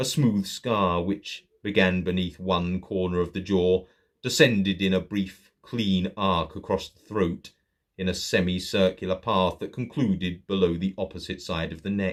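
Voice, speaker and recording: In a very clean recording with a silent background, a man with a plain, everyday voice and an American accent speaks at a fairly low pitch and a fairly slow pace. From Saint Louis, Missouri. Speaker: horror author and narrator. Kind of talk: horror story reading.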